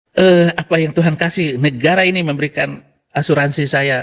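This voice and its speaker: His voice sits at a fairly high pitch. The man speaks at a moderate pace. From Indonesia. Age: 60s. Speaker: Quran memorizer turned religion critic. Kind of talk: casual chat.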